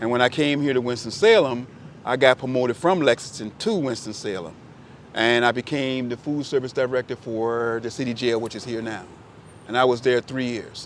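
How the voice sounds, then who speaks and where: A medium-pitched man with an American accent at a fairly quick pace amid noticeable background noise. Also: ordinary pitch variation. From Virginia (Richmond). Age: 60s. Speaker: photographer. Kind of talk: casual chat.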